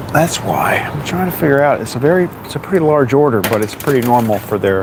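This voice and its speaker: The speaker mumbles at a very fast pace with lively intonation. Noticeable background noise runs underneath. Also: man, fairly high pitch for a man. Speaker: bakery delivery driver and vlogger. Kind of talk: casual live-stream chat while working. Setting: in a delivery van and at a business. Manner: mumbling.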